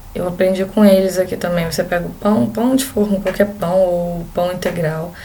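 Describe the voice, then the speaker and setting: Amid noticeable background noise and audible room echo, a woman with a strong Rio de Janeiro accent speaks at a moderate pace with fairly even intonation. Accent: strong carioca. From Brazil, Rio de Janeiro. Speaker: exchange student vlogger. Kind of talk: casual vlog talk.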